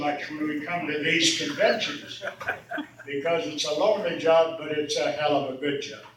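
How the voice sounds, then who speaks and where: A man speaks at a fairly high pitch amid noticeable background noise and audible room echo. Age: 80s+. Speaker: retired trucking boss speaking at a reunion. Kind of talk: reunion speech. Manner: folksy, conversational.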